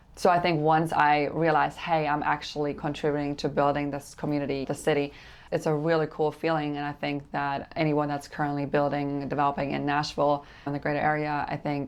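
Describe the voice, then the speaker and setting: A woman with a German accent talks at a fairly quick pace. Her voice is very deep and low, and her intonation is flat and monotone. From Germany. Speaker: real estate developer and coach. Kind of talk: interview.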